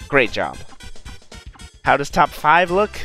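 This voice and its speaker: A man talks at a moderate pace. Behind his voice, music plays in the background. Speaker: speedrun competition commentator. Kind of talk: live game commentary.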